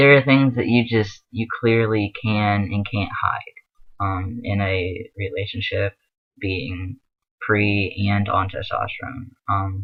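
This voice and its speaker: A man speaks very slowly in a fairly low voice, with fairly even intonation. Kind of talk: casual advice vlog. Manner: filler-heavy, hesitant.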